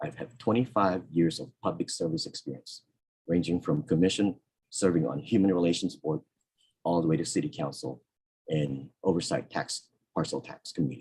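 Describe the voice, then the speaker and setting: With vocal fry and a very deep, low pitch, a man talks at a moderate pace using lively intonation and long, frequent pauses. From Philippines. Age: 60s. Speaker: political candidate. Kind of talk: candidate forum statement. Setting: video call.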